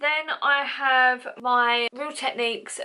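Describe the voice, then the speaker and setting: A woman speaks over noticeable background noise. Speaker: beauty vlogger. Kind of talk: makeup tutorial. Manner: stumbling over words.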